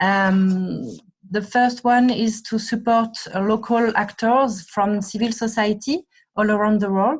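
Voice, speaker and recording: A somewhat breathy woman with a fairly high pitch and fairly even intonation speaks at a fairly slow pace in a very clean recording with a silent background. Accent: French. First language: French. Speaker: NGO staff member. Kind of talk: presentation. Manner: halting.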